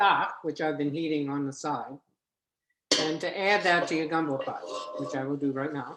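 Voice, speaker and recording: A man speaks at a moderate pace with long, frequent pauses. Loud background noise runs underneath. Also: fairly high pitch for a man, ordinary pitch variation. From New Orleans. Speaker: home cook. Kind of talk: cooking demonstration. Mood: relaxed, chatty. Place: kitchen. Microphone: camera far.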